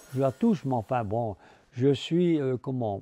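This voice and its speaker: A dark, mellow tone carries lively intonation at a very slow pace. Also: man. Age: 80s+. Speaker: scissor maker. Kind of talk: interview answer.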